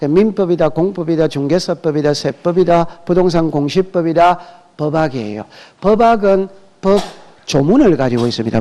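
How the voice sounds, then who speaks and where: This man's voice sits at a fairly high pitch with a dark, mellow tone. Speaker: real estate law instructor. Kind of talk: lecture. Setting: classroom with students. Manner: speeds up when talking; question-and-answer style with class.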